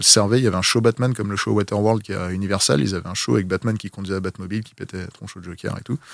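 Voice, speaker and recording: A man's speech is very fast, with ordinary pitch variation. The sound is close and dry, with no echo at all. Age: 30s. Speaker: film vehicle collector. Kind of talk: casual chat.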